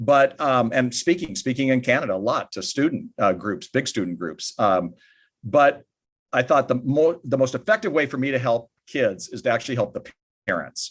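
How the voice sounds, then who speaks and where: A man with an American accent speaks at a moderate pace and medium pitch. His intonation is lively, and there is vocal fry in his voice. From United States. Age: 60s. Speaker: author and family ministry speaker. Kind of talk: podcast interview.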